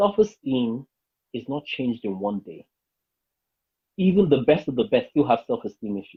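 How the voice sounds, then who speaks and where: A man speaks with very wide pitch swings and big swings in loudness. His pauses are long and frequent. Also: fairly high pitch for a man, moderate pace. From Nigeria. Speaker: life coach and public speaker. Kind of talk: interview conversation.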